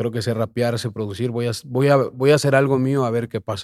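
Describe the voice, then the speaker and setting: A man talks in a plain, everyday voice with fairly even intonation, recorded very cleanly against a silent background with a dry, close sound and no echo. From Mexico City. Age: 20s. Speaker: reggaeton artist and producer. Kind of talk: casual interview.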